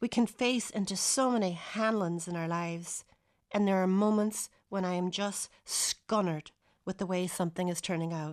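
Someone speaks in a Donegal accent at a moderate pace. The intonation is fairly even, and the background is quiet. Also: woman, medium pitch for a woman. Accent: Donegal Irish. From Donegal, Ireland (arrived from Ohio as a child). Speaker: writer. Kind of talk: scripted narration.

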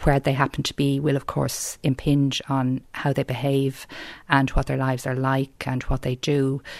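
A woman speaks with a Dublin accent at a moderate pace, her pitch very deep and low. Her intonation is monotone and flat, on a very clean recording with a silent background. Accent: South Dublin Irish. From South Dublin, Ireland. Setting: home interview.

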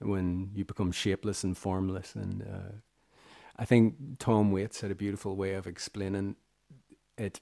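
In a Northern Irish accent, a man talks with a fairly low pitch, a dark, mellow tone, and monotone, flat intonation. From Northern Ireland, Armagh. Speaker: musician and composer. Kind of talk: radio interview. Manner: halting, many fillers.

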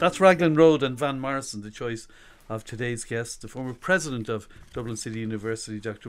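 Here a man speaks at a fairly quick pace. He has an Irish accent and a medium pitch. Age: 50s. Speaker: radio host. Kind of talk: interview. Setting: radio studio.

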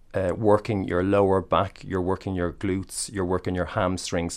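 A man with an Irish accent and a very deep, low pitch over a quiet background. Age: 40s. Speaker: personal trainer. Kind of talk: interview. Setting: studio.

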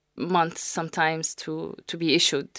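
On a very clean recording with a silent background, a woman speaks at a moderate pace. The sound is dry and close, with no echo. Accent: Arabic. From Saudi Arabia, Syrian family. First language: Arabic. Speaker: data scientist. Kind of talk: radio interview. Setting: studio.

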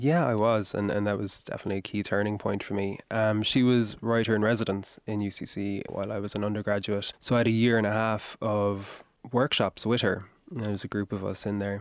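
A man with a Kerry accent talks at a fairly quick pace and fairly low pitch. His intonation is monotone and flat, over a quiet background. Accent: Kerry Irish. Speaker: novelist. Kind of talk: radio interview. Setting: studio.

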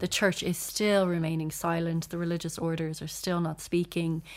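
A woman with an Irish accent, fairly low in pitch, at a moderate pace, in a very clean recording with a silent background. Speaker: journalist and author. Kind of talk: casual chat.

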